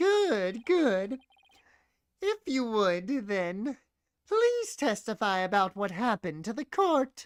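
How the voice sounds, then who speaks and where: The speaker puts on a character voice with a fairly high pitch. The delivery is very slow. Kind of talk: stern, courtroom prosecuting tone.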